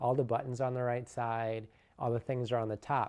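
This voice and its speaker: A man speaks with an American accent at a medium pitch. His tone is dark and mellow against a quiet background. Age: 30s. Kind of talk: personal testimony.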